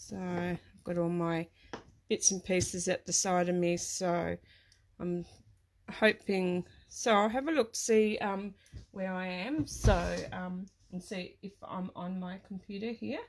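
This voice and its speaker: Speaking at a fairly slow pace with an Australian accent, the voice shows big swings in loudness. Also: woman, medium pitch for a woman, ordinary pitch variation. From Australia (Tasmania). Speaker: craft product demonstrator. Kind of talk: live craft tutorial. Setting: live stream at her craft desk. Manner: hesitant, many fillers.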